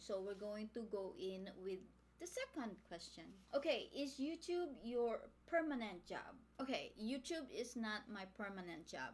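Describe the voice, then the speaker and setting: With a Filipino accent, a woman talks at a fairly slow pace. Her fairly high voice swings very widely in pitch. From Philippines. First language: Tagalog. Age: 50s. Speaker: beauty vlogger. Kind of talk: casual makeup tutorial chat.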